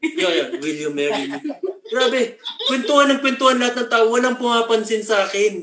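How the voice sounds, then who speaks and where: The voice is loud, moving at a fairly quick pace with very wide pitch swings. Background noise is noticeable. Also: man, extremely high pitch for a man. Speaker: blind motivational speaker and show host. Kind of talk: casual chat. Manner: talkative.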